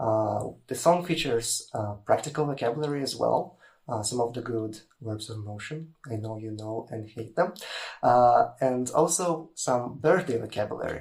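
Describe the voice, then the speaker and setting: A man's somewhat breathy voice at medium pitch, with a Russian accent. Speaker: language teacher. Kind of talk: tutorial.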